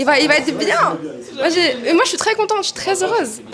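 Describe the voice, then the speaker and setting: A woman at a fairly quick pace, extremely high pitch and very wide pitch swings, with noticeable background noise. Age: 20s. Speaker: model and singer. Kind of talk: casual chat.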